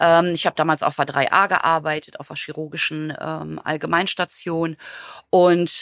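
At a very slow pace, a woman talks in a fairly low pitch, the sound dry and close with no echo. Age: 50s. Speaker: geriatric nurse. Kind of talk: interview.

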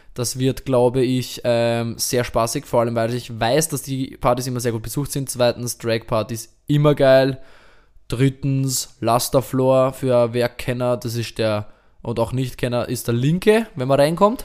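In a very clean recording with a silent background, a man with a plain, everyday voice talks at a fairly slow pace, with fairly even intonation and medium pitch. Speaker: podcast co-host and DJ. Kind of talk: casual chat.

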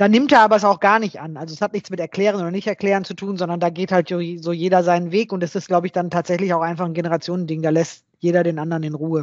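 A woman talks at a very fast pace with hardly any pauses, her fairly low voice keeping a fairly even intonation. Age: 50s. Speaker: software developer and coworking space owner. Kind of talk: interview. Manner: halting.

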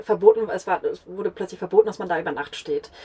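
Noticeable background noise runs under the recording. A woman talks with fairly even intonation. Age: 30s. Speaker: tour guide. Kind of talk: casual chat. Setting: in a caravan.

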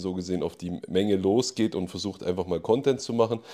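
A man's fairly low, dark, mellow voice at a fairly quick pace on a very clean recording with a silent background. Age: 20s. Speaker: fitness coach, host's husband. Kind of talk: casual chat.

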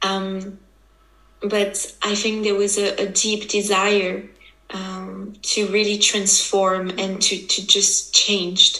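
Against noticeable background noise and audible room echo, a woman speaks very slowly at a medium pitch in a monotone, flat intonation. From French-speaking Switzerland. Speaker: women's embodiment coach. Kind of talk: interview. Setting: video call.

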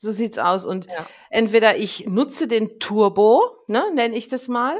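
With lively intonation, a woman talks at a fairly high pitch in an unremarkable speaking voice. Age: 50s. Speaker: angel healer. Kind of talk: interview, personal story.

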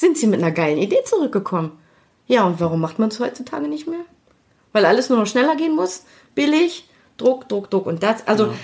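A woman's somewhat breathy, fairly high voice at a very fast pace, with very wide pitch swings and long, frequent pauses. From Germany, Düsseldorf. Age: 50s. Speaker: creative producer and network founder. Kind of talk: interview. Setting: conference room in a company showroom.

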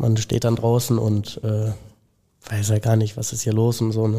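Somewhat breathy and dark, mellow in tone, a man speaks at medium pitch and a moderate pace in a monotone, flat intonation. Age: young (19). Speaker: apprentice plumbing and heating fitter. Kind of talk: casual interview. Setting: company premises.

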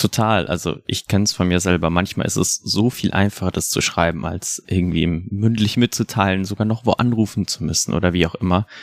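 A very deep, low male voice, fairly quick with hardly any pauses and ordinary pitch variation, in a very clean recording with a silent background and a dry, close sound with no echo. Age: 20s. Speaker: student and youth helpline volunteer counselor. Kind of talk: casual interview. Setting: podcast studio.

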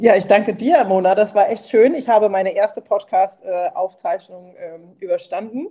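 Talking at a moderate pace with hardly any pauses, a woman has a fairly high pitch, lively intonation and a dark, mellow tone. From Mosel region, Germany. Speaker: former civil servant, aspiring founder. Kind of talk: casual interview chat. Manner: hesitant, many fillers.

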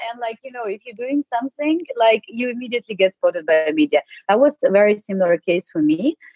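A woman with a Ukrainian accent, a fairly high pitch and very wide pitch swings, at a very fast pace. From Ukraine. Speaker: tech sales lead. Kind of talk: interview.

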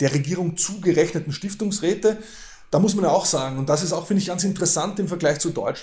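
The delivery runs at a very fast pace. The tone is dark and mellow. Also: man, high pitch for a man, ordinary pitch variation. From Austria. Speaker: professor. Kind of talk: interview.

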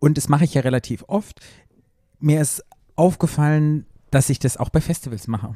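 A somewhat breathy man with a fairly high pitch and a dark, mellow tone, at a moderate pace with long, frequent pauses, in a dry, close sound with no echo. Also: ordinary pitch variation. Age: 40s. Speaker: podcast co-host. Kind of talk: casual chat. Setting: studio on a couch.

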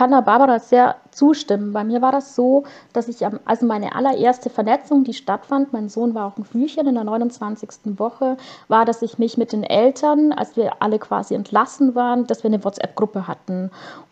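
A plain, everyday voice moves at a moderate speed, its pitch varying in an ordinary way. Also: woman, fairly high pitch for a woman. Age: 30s. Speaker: caregiving mother and blogger. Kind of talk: podcast interview.

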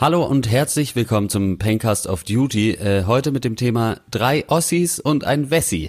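At a moderate pace, a man with a normal speaking voice speaks with a medium pitch and lively intonation. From western Germany. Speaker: podcast host. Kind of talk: casual chat.

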